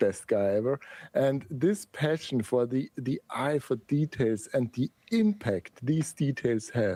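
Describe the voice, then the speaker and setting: A dark, mellow voice with an Austrian accent speaks at a very slow pace, with lively intonation and very even loudness. The recording is very clean, with a silent background. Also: man, medium pitch for a man. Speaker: typography educator and designer. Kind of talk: podcast interview. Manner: animated.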